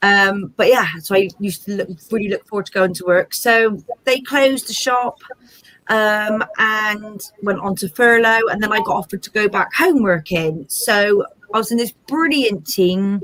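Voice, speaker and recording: A woman with a Bristol accent talks at a moderate pace, her fairly high voice moving with ordinary pitch variation. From Bristol, south-west England. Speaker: small business owner. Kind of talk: interview.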